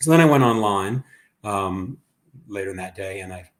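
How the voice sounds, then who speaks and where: On a very clean recording with a silent background, a man with an Ohio accent speaks at a moderate pace with ordinary pitch variation. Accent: Ohio twang. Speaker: urban planner. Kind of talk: panel discussion.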